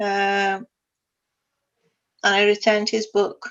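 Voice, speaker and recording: Speaking in an Iranian accent, a woman talks at medium pitch and a fairly slow pace. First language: Farsi. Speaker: sustainability consultant. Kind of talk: interview.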